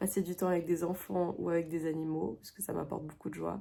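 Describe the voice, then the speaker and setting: Dark, mellow tone in a woman's fairly low-pitched voice. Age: 20s. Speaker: illustrator and video creator. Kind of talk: casual tutorial vlog. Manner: hesitant, many fillers.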